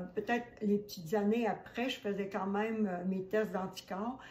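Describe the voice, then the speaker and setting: A woman with a Quebec accent speaks fairly slowly at a medium pitch with fairly even intonation, amid noticeable background noise and audible room echo. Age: 70s. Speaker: holistic esthetician. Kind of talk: testimony. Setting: home kitchen.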